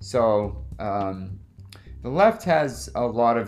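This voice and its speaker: A man is speaking. Background music can be heard behind him. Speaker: podcast host. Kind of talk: casual political interview.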